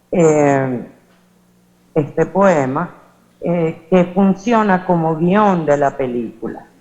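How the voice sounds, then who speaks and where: Her voice has a dark, mellow tone. The woman speaks very slowly, with long, frequent pauses. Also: fairly low pitch for a woman, ordinary pitch variation. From Venezuela. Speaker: academic conference speaker. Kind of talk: conference presentation. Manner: hesitant, many filler sounds.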